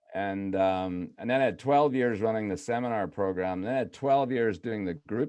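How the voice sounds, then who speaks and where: Over a quiet background comes a voice with a dark, mellow tone. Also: man. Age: 70s. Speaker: author and business coach. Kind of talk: interview.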